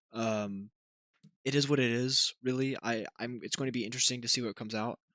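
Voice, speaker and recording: A man's voice comes through quiet, with a bright, sharp tone. He talks fairly quickly with fairly even intonation. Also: medium pitch for a man, dry, close sound with no echo. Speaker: YouTuber and streamer. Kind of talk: casual vlog monologue. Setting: at home, shared building. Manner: halting, many fillers and restarts; kept quiet to limit noise.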